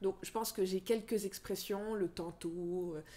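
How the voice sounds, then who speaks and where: Dark, mellow tone from a woman, intonation fairly even. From northeastern France. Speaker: freelance journalist. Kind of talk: podcast interview. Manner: hesitant, many fillers.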